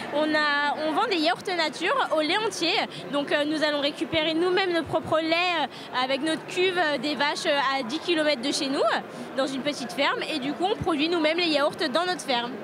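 A woman with an extremely high pitch, ordinary pitch variation and a moderate pace, in a dry sound with no echo amid noticeable background noise. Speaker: farm product vendor. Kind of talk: interview answer. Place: hall. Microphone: handheld.

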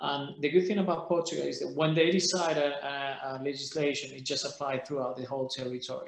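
A man with a Spanish accent talks at a fairly quick pace and fairly high pitch, with audible room echo but a quiet background. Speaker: holiday rental association president; panelist. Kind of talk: panel discussion. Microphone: webcam.

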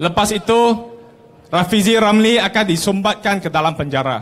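A high-pitched man talks at a fairly slow pace with ordinary pitch variation. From Malaysia. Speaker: politician. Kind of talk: campaign rally speech. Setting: outdoor stage with audience. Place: street.

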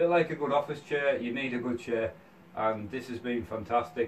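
Light background noise under a man talking. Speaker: gaming content creator reviewing a product. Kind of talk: product review. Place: home room. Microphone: camera far.

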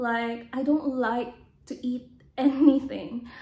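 In a room with audible echo, a woman speaks very slowly in a high, dark, mellow voice with monotone, flat intonation. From Philippines. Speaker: vlogger. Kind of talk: casual vlog monologue. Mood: calm, personal storytelling. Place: home room. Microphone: phone near.

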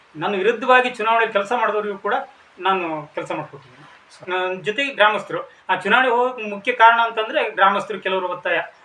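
A high-pitched man's voice with ordinary pitch variation, against noticeable background noise. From India, Karnataka, Shivamogga district (Thirthahalli taluk). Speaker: former village council member and farmer. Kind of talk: interview. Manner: halting.

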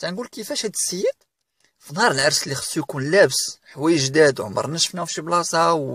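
A man at a fairly quick pace, recorded with a dry, close sound and no echo. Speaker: career advice YouTuber. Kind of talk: tutorial.

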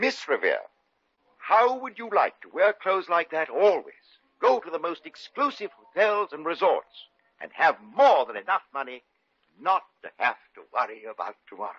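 This man uses a put-on character voice that is fairly high and fairly bright, with a slightly husky edge and big swings in pitch. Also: moderate pace.

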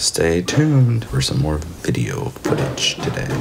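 A man talks with noticeable background noise around him. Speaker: vlogger. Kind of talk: casual vlog chat. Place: home room. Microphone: phone near.

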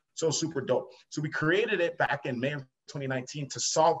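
Light background noise sits under a man's somewhat breathy voice. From Long Island, New York; New York. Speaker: entrepreneur; podcast guest. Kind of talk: interview. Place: home room. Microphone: webcam.

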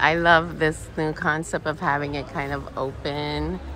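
Over light background noise, a woman speaks at a fairly slow pace in a dry sound with no echo. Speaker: cruise vlogger. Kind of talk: casual vlog chat. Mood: enthusiastic, laughing. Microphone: phone near.

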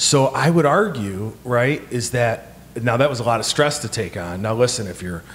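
At a moderate pace, a man speaks over light background noise. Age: 40s. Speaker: podcast co-host. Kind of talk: casual chat. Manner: animated. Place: home room. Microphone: handheld.

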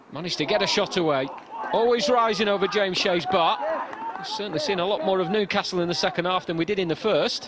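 Over noticeable background noise, a man talks very fast in an animated tone at a high pitch. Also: ordinary pitch variation. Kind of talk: football commentary. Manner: fast, clipped play-by-play delivery; animated, building excitement at chances.

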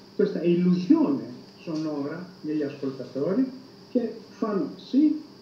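Through audible room echo and light background noise, a man with a high pitch speaks in very wide pitch swings. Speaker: psychology professor. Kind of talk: interview answer. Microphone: video call.

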